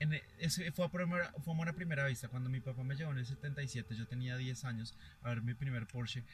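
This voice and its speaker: Talking at a very fast pace, a man uses a somewhat breathy, medium-pitched voice with ordinary pitch variation. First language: Spanish. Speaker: interpreter and journalist. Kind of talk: live interpreting. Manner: halting.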